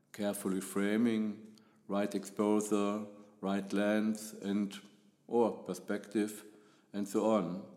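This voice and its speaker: In a German accent, a man speaks very slowly in a fairly low pitch with a dark, mellow tone, monotone, flat intonation, and long, frequent pauses. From Germany. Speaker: photographer. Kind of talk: podcast monologue.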